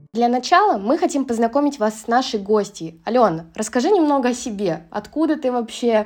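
Speaking at a fairly quick pace with hardly any pauses, a woman uses a high pitch and lively intonation. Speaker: student podcast host. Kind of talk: interview. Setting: studio.

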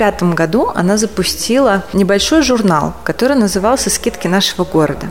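Over music in the background, a woman speaks at a medium pitch and moderate pace with ordinary pitch variation. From Russia, Kazan and Krasnodar region. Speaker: executive director of a chefs' association. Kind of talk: casual interview chat. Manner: animated.

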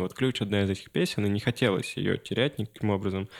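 Set against a very clean recording with a silent background, a man talks at a moderate pace in a fairly low pitch, with ordinary pitch variation and an unremarkable speaking voice. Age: 20s. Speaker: musician. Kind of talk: casual chat. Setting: studio.

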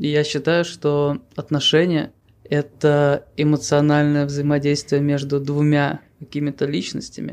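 A man with a fairly high voice speaks at a very slow pace. His intonation is fairly even. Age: 30s. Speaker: podcast co-host. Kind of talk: casual chat.

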